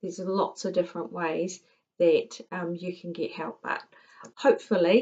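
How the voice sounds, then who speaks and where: This woman's voice sits at a medium pitch. She speaks at a fairly slow pace with fairly even intonation. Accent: New Zealand. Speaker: tutor. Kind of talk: tutorial.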